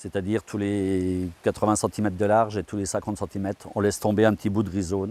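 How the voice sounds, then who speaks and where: A man's fairly low, dark and mellow voice at a fairly quick pace, flat and monotone, with a dry, close sound and no echo. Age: 60s. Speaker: farmer. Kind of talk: interview. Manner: hesitant, with frequent fillers.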